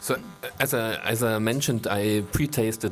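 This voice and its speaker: A man with a German accent and a fairly low pitch, with music in the background. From Germany. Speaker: wine critic. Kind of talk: wine tasting masterclass. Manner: halting.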